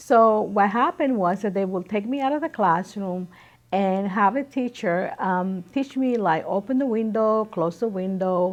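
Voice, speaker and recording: The speaker has a Spanish accent. The delivery is fairly slow. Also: woman, medium pitch for a woman, ordinary pitch variation, quiet background. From Dominican Republic, moved to New York City at 12. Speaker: immigrant interviewee. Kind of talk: interview testimony.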